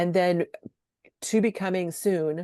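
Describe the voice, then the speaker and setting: The tone is dark and mellow, with monotone, flat intonation. The sound is dry and close with no echo against a quiet background. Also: woman. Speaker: state program coordinator. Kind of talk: webinar presentation. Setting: online webinar. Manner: fast.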